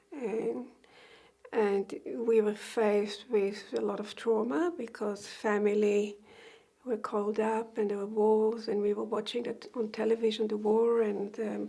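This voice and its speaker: At a fairly slow pace, a woman with a fairly high pitch speaks in fairly even intonation over noticeable background noise. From Israel. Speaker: migrant interviewee. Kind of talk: oral history interview. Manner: hesitant, with many fillers.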